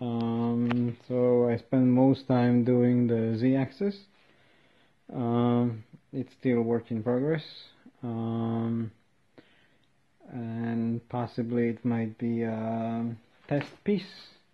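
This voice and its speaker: A man mumbles at a very slow pace, with long, frequent pauses. His pitch is medium and his intonation fairly even. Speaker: DIY maker. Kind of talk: workshop tutorial. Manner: mumbling, hesitant.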